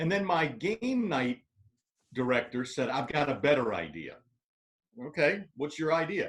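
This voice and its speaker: A man with an American accent talks at a moderate pace, fairly high in pitch with lively intonation and vocal fry. Long, frequent pauses break up his speech. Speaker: stadium public address announcer. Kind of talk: podcast interview answer. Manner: conversational, storytelling.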